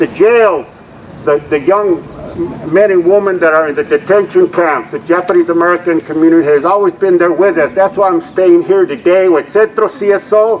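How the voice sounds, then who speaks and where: High pitch from a man at a moderate pace, ordinary pitch variation, noticeable background noise around him. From Los Angeles, Boyle Heights (Mexican-born, moved at five). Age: 70s. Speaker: community activist. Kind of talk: rally speech. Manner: animated.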